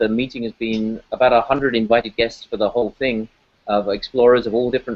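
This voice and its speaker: A man with a British accent talks at a very fast pace and medium pitch. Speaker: ocean scientist. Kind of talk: interview. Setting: aquarium event venue.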